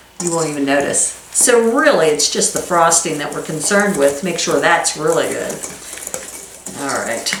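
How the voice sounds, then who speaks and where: Through noticeable background noise and audible room echo, a woman with a fairly low pitch speaks at a moderate pace with ordinary pitch variation. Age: 50s. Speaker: cooking channel host. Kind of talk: cooking tutorial. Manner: casual, chatty.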